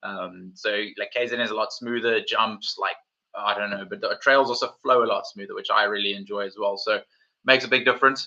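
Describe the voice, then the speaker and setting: With a South African accent, a man speaks at a fairly quick pace. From South Africa, Cape Town. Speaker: mountain bike YouTuber. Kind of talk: live stream chat. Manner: casual, animated.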